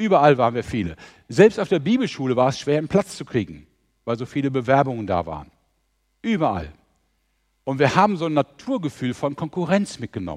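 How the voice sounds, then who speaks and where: Against a quiet background, a man with a fairly high pitch talks at a fairly quick pace with vocal fry, very wide pitch swings, and long, frequent pauses. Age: 60s. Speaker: mission organisation leader, preacher. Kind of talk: sermon.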